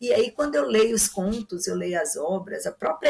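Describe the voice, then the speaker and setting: Pitched fairly high, a woman uses an ordinary speaking voice with lively intonation. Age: 60s. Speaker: literature commentator guest. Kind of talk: podcast discussion.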